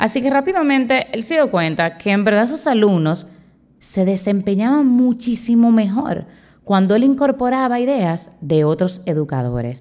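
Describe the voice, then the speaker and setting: A woman speaks at a fairly high pitch with very wide swings and a dark, mellow tone. The recording is very clean, with a silent background. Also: moderate pace. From Dominican Republic. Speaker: teacher and podcast host. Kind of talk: solo podcast talk.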